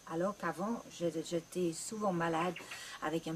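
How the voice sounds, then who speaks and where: With a British accent, a woman speaks at a fairly slow pace in a fairly low pitch with ordinary pitch variation, against noticeable background noise. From Great Britain. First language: English (speaking French). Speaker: ayurveda practitioner. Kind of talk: promotional talk.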